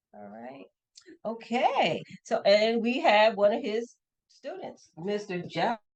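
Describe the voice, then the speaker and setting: Speaking very slowly, a woman with an American accent has a fairly high voice with vocal fry. Her intonation is lively and her loudness swings widely. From Grand Rapids, Michigan. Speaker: community show host. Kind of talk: casual interview. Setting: bowling alley.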